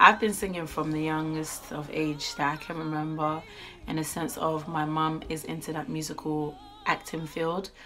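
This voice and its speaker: Music plays in the background as a woman speaks at a moderate pace. Her pitch is very deep and low. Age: 20s. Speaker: YouTuber and singer. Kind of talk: casual vlog chat. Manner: chatty, informal.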